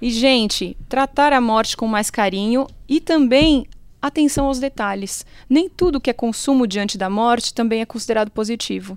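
A woman with a high pitch talks at a moderate pace, varying her pitch in an ordinary way. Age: 30s. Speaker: funeral marketing consultant and consumer researcher. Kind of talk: casual interview chat.

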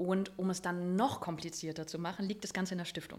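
Talking at a very fast pace, a woman's voice sits fairly low in pitch. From Germany, northern Hesse. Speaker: business owner and coach. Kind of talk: interview. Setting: recorded in a restaurant.

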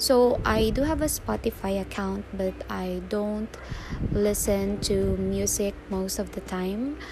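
A woman with a Filipino accent speaks at a very slow pace over noticeable background noise. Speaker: freelancer and podcaster. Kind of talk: casual monologue. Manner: halting.

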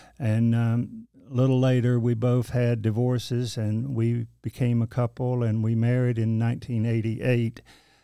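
In a Southern US accent, the speaker uses a dark, mellow tone, a monotone, flat intonation and very even loudness, at a moderate pace with hardly any pauses. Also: man, medium pitch for a man. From eastern North Carolina. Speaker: church administrator. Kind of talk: casual interview. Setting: studio.

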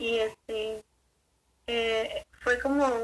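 A woman talks at a fairly high pitch with a bright, sharp tone and ordinary pitch variation. The sound is dry and close, with no echo. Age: young. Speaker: student. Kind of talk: casual chat.

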